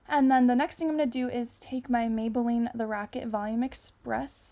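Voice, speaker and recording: A woman speaks at a fairly high pitch with fairly even intonation. There is noticeable background noise. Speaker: beauty vlogger. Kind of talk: makeup tutorial. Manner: casual, chatty.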